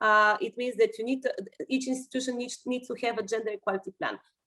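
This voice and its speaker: The voice has a bright, sharp tone and races along at a very fast pace. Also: woman. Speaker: EU policy official. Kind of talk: webinar Q&A answer. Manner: halting, many fillers.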